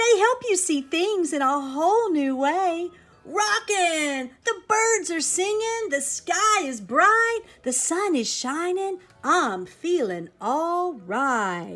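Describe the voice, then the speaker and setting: Putting on a character voice, a woman speaks at a very slow pace in an extremely high pitch. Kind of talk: bedtime story. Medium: read story.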